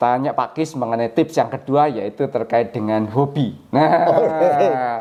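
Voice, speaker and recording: A man's pitch varies in an ordinary way as he talks amid noticeable background noise. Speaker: channel host and interviewer. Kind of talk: casual talk to camera.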